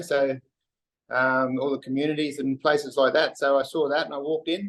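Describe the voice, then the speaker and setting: A man speaks with a strong Australian accent at a fairly high pitch. His pace is fairly quick and his intonation fairly even. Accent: broad Australian. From Western Queensland, Australia. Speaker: wharf worker. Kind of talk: casual interview chat. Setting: video call. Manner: halting, many fillers.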